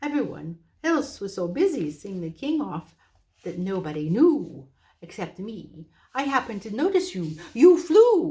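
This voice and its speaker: This female-sounding voice is a put-on character voice, high in pitch with very wide pitch swings. The pace is fairly slow. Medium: read story. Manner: hooting, a little flustered.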